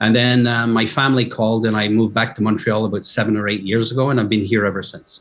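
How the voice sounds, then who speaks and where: Speaking very fast with hardly any pauses, a man with a slight Scottish accent keeps a medium pitch and a monotone, flat intonation. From Scotland, Aberdeen. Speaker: fashion company executive. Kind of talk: podcast interview.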